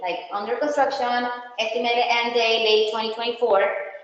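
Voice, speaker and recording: With audible room echo around her, a woman talks at a fairly high pitch. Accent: non-native. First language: not English. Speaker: county road project presenter. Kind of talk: community meeting presentation. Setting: HOA meeting room. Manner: halting.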